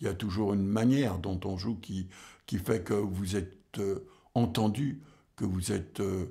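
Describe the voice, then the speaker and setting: A man with a fairly low, somewhat breathy voice speaks at a fairly slow pace with ordinary pitch variation, and audible room echo surrounds him. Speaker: jazz drummer and music scholar. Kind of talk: lecture. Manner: halting, many hesitations.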